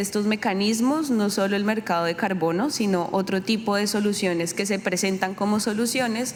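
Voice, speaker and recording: A woman talks fairly quickly at a medium pitch, her intonation fairly even. The room echo is audible, and there is noticeable background noise. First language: Spanish. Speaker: climate justice panelist. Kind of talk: press conference answer.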